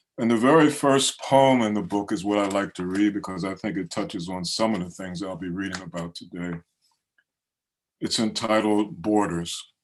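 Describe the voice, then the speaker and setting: A man with an American accent speaks at a moderate pace in an unremarkable speaking voice, his pitch fairly low, with ordinary pitch variation. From Baltimore, Maryland. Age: 60s. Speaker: poet. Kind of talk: poetry reading. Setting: video call.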